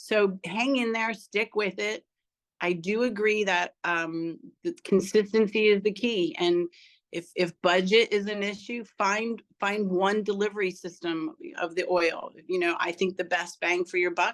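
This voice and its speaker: A woman's voice sits at a medium pitch, with ordinary variation. She speaks at a fairly slow pace. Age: 60s. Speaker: testimonial speaker, product user. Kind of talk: personal testimony. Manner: casual, halting with repetitions.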